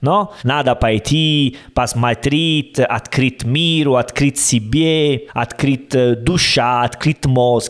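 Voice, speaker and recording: A man with an Italian accent speaks at a very slow pace with hardly any pauses and very even loudness. His voice is fairly high, with ordinary pitch variation. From Italy. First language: Italian (speaking Russian). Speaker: podcast co-host. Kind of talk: casual chat. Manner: halting.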